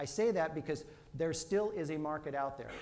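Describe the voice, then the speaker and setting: There's audible room echo in this recording. The speaker is a man. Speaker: mortgage lending speaker. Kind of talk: business presentation. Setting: stage with audience. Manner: fast.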